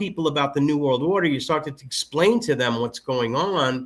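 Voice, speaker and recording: A man's fairly high voice, fairly quick, with lively intonation. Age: 50s. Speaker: conspiracy commentator guest. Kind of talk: casual chat. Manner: halting, many repetitions.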